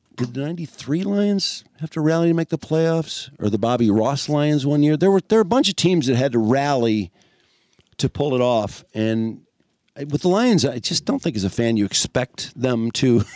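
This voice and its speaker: With an American accent, a man speaks in a normal speaking voice at a fairly high pitch and a moderate pace. His intonation is lively, and the sound is dry and close with no echo. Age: 60s. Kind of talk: casual chat. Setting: studio.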